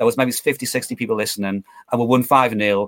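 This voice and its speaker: A man talks with a Geordie accent at a medium pitch. His intonation is lively, and the recording is very clean with a silent background. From northeast England (Newcastle area). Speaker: football fan and amateur commentator. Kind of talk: casual chat. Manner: repetitive, stammering starts.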